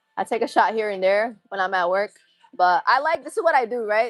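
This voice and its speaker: A woman with an American accent, dry and close with no echo. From Massachusetts. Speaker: livestreamer and bartender. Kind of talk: casual chat.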